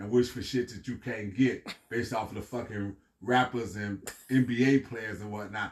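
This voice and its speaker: In an American accent, a man of medium pitch talks at a moderate pace in an animated tone. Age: 60s. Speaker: street preacher / scripture teacher. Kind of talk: scripture teaching. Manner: animated, repetitive.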